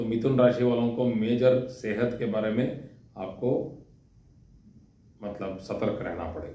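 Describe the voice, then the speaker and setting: Amid audible room echo, a man with a non-native accent speaks with fairly even intonation and long, frequent pauses. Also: medium pitch for a man. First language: not Hindi (speaking Hindi). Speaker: astrology teacher. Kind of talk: lecture. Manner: halting, with fillers.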